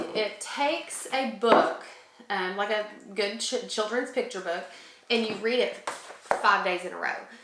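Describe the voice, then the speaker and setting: Audible room echo and noticeable background noise surround a woman's voice. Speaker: homeschooling mom and channel co-host. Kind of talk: casual tutorial talk to camera. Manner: fast; chatty with many fillers.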